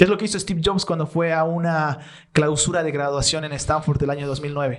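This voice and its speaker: A man with a fairly high pitch and fairly even intonation speaks in an unremarkable speaking voice. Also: fairly quick pace. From Bolivia. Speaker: content creator and storyteller. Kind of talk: podcast interview answer.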